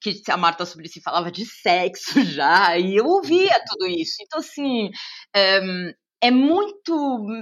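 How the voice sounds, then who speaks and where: Speaking at a fairly slow pace, a woman with a São Paulo accent uses a fairly high pitch that makes very wide swings. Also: big swings in loudness. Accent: São Paulo Brazilian Portuguese. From Brazil, São Paulo city. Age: 40s. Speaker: journalist and TV presenter. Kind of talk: casual interview.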